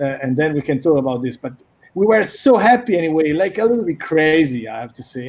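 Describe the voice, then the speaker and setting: Speaking in an Italian accent, a man uses a fairly high pitch and lively intonation. He moves at a fairly quick pace. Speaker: magazine co-founder and director. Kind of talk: casual chat.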